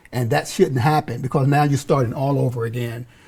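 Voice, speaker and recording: Fairly even intonation runs through a somewhat breathy voice with a dark, mellow tone. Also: man. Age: 60s. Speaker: community youth services worker. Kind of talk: panel discussion. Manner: halting, repeats words.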